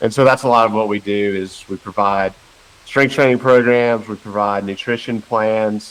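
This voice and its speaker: A man's fairly low voice in a Carolina accent, with fairly even intonation. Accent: slow Carolina drawl. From western North Carolina. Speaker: personal trainer and nutrition coach. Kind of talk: podcast interview.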